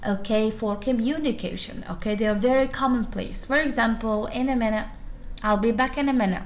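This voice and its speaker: With an Arabic accent, a woman speaks at a fairly high pitch and very even loudness, with audible room echo around her. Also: fairly even intonation, fairly quick pace. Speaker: university lecturer. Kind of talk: lecture.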